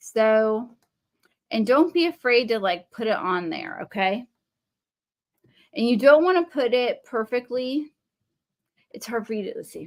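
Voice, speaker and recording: Speaking with a Texan accent, a woman has a high pitch, lively intonation and big swings in loudness, at a fairly slow pace with long, frequent pauses. The recording is very clean, with a silent background. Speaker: craft livestream host. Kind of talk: casual crafting tutorial livestream. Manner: chatty, informal.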